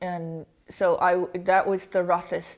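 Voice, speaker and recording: A woman with an ordinary speaking voice, medium pitch and fairly even intonation is heard in a very clean recording with a silent background. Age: 40s. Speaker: face transplant recipient giving a talk. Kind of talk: talk to a club audience.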